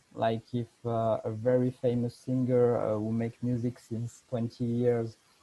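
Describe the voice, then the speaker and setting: With a French accent, a man speaks at a medium pitch in a dark, mellow tone. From France. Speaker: fashion designer. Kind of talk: lecture. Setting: video call. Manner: halting.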